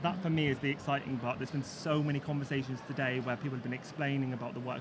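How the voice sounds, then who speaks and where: Over noticeable background noise, a man with a West Country accent speaks very fast at a fairly high pitch. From Plymouth, south-west England. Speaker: business owner. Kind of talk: live panel discussion. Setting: business show with live audience. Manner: animated, informal.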